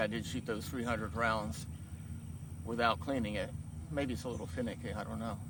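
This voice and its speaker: A man's medium-pitched voice, bright and sharp in tone, with ordinary pitch variation and audible room echo. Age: 60s. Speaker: gun reviewer. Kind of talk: product review. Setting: outdoors at a private shooting range. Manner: casual, conversational.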